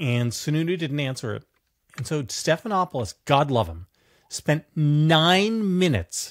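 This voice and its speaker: A man's voice makes very wide pitch swings. The sound is dry with no echo, and the background is quiet. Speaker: political commentator, show co-host. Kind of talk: commentary. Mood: sardonic, animated. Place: home room.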